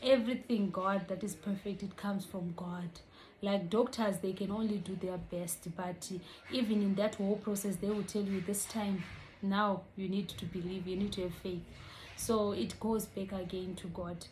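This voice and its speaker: A woman speaks at a medium pitch in a somewhat breathy, monotone voice with flat intonation, and the room echo is audible. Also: moderate pace. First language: not English. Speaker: vlogger. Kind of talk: casual vlog explainer.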